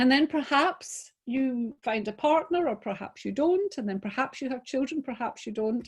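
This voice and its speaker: With a Scottish accent, a woman speaks at a moderate pace in a high pitch with lively intonation. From Scotland. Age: 60s. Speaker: business coach, webinar presenter. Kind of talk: webinar talk. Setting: video call.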